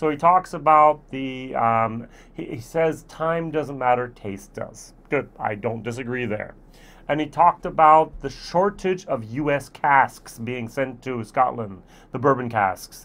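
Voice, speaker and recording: A man speaks very slowly in an American accent. His pitch varies in an ordinary way. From United States. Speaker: whisky reviewer. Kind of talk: solo product review. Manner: casual, with filler hesitations. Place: home room.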